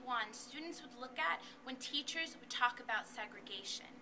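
Someone talks in a raised, projected voice at a moderate pace with light background noise. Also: woman. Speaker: student poet. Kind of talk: spoken word performance. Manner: rhythmic. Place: hall. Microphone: camera far.

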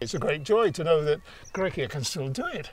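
Lively intonation marks this man's English accent, and his pace is fairly slow. The sound is dry with no echo. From England. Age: 80s+. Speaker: retired amateur cyclist. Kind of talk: interview answer. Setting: outdoors. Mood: cheerful, smiling. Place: open country.

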